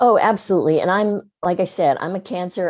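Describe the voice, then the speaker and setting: With a normal speaking voice, a woman speaks at a fairly low pitch and moderate pace, her pitch varying in an ordinary way. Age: 60s. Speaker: writer and writing teacher. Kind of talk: podcast interview.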